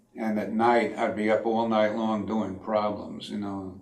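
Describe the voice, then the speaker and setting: With an American accent, a man talks at a fairly slow pace. Noticeable background noise runs underneath. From Connecticut, USA. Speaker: World War II Navy veteran. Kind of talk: interview answer.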